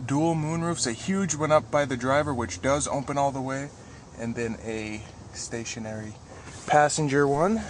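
A man talks at a fairly slow pace. The sound is dry with no echo, but there is noticeable background noise. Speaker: car salesperson. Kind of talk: product walkaround commentary. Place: car. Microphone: phone near.

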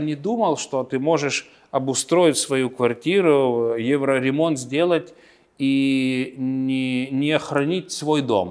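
A man's fairly high voice at a very slow pace, over a quiet background. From Lithuania. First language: Lithuanian (speaking Russian). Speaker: politician. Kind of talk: interview. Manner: halting. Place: office. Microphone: lapel.

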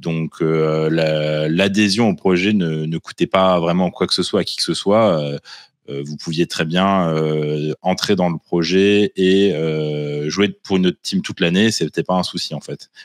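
In a quiet background with a dry sound and no echo, a man speaks at a fairly slow pace with a very deep, low pitch and fairly even intonation. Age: 30s. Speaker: tabletop wargaming champion; guest. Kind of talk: casual chat. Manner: hesitant, many fillers. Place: home room. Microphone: video call.

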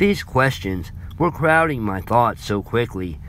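The intonation is lively as a text is read aloud in a natural voice.

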